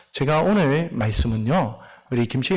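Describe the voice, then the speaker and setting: There is noticeable background noise in this clip. A man speaks at a moderate pace with lively intonation. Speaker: missionary pastor. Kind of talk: sermon. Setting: church.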